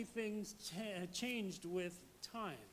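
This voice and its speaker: Audible room echo surrounds this man as he speaks. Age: 70s. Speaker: pastor. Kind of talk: sermon.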